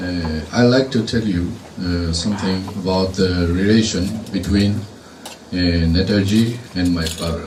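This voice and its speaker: A man with a Japanese accent speaks fairly slowly in a very deep, low pitch with fairly even intonation. Noticeable background noise and audible room echo sit under his voice. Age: 60s. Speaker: retired engineer, speaker at commemoration. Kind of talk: speech. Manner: halting, many fillers.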